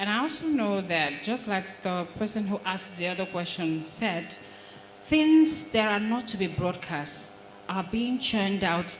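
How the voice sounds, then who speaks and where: A medium-pitched woman's voice at a fairly slow pace with lively intonation, amid noticeable background noise and audible room echo. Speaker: broadcast trainer and presenter. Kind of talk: audience question at a panel. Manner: quiet, hard to hear at first.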